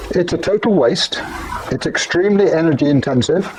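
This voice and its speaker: With an English accent, a man speaks at a high pitch with lively intonation over noticeable background noise. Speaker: podcaster. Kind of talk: opinion podcast monologue. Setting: outdoors.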